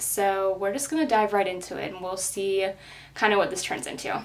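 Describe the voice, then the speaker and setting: A woman speaks at a fairly quick pace. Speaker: beauty vlogger. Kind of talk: casual vlog chat. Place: home room. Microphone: camera far.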